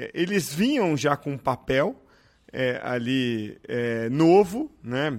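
A fairly high male voice with lively intonation. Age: 40s. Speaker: podcast host. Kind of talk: interview.

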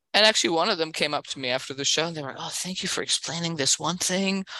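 Lively intonation and a bright, sharp tone from a woman. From Berlin, Germany. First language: German. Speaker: stand-up comedian. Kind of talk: casual chat.

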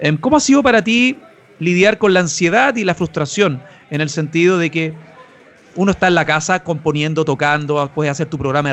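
A man with a Chilean accent talks at a moderate pace in a high voice with ordinary pitch variation, over noticeable background noise. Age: 30s. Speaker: podcast host. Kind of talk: interview.

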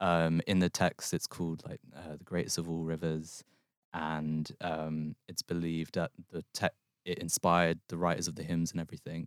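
At a moderate pace, a man speaks in a very deep, low pitch with monotone, flat intonation. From West London. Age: 20s. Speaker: short story writer. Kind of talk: casual chat. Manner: halting.

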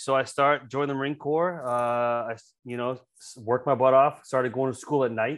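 An ordinary speaking voice, a man with an American accent talks at a medium pitch and a fairly quick pace with fairly even intonation, in a very clean recording with a silent background. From US South, coastal South Carolina. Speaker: retired Marine officer and franchise owner. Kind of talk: interview chat.

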